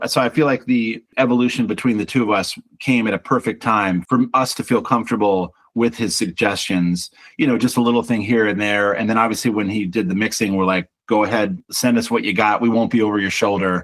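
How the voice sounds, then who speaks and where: A man talks at a fairly quick pace in an unremarkable speaking voice. His pitch is medium and his intonation fairly even. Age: 50s. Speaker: singer-songwriter and band frontman. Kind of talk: interview.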